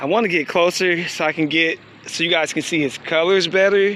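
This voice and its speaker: With noticeable background noise behind him, a man speaks at a moderate pace and a high pitch, with fairly even intonation. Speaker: nature vlogger. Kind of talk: casual walk-and-talk vlog. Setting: outdoors, nature walk. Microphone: voice muffled by mask.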